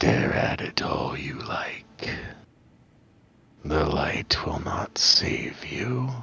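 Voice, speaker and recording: A man's put-on character voice in a whisper, at a very slow pace. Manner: whispering; menacing.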